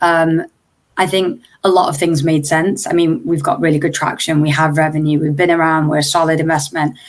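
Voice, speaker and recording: A woman talks in an English accent at a fairly low pitch. Her pace is fairly quick and her intonation fairly even. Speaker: startup founder. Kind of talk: interview.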